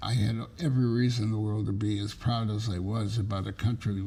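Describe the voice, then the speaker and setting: Somewhat breathy, a man speaks at a fairly slow pace with an American accent, his medium pitch showing ordinary variation. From New Haven, Connecticut. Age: 90s. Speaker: television producer and writer; World War II veteran. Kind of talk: interview answer.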